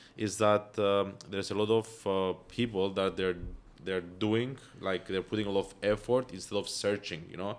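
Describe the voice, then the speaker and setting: A man with a Greek accent, fairly low pitch, fairly even intonation and moderate pace, in a very clean recording with a silent background. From Cyprus. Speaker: entrepreneur. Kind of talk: podcast interview. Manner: hesitant, many fillers.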